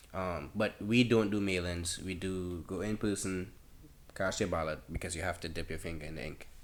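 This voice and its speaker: A man's very deep, low voice with a Trinidadian accent and fairly even intonation. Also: moderate pace. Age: 20s. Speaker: college student. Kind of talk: casual chat.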